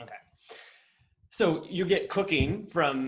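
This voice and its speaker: The speaker has a Midwestern American accent. The pace is fairly slow. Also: man. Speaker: podcast host. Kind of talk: interview conversation.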